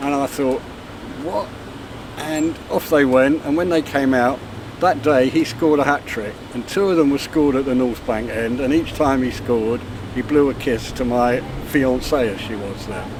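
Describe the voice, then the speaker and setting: A man's medium-pitched voice, with ordinary pitch variation and a moderate pace, comes through noticeable background noise. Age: 60s. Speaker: football fan. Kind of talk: casual chat.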